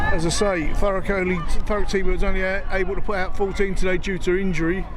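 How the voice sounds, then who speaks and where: Shouting loudly at a very fast pace, a man with a high pitch keeps a monotone, flat intonation amid audible room echo and noticeable background noise. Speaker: amateur rugby commentator. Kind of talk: live commentary. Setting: outdoors at rugby pitch. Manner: loud, shouting over wind.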